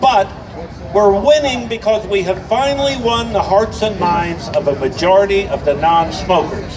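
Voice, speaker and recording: Amid noticeable background noise and audible room echo, a man speaks at a high pitch and moderate pace with lively intonation. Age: 70s. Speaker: activist attorney, speaker at a rally. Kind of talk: rally speech.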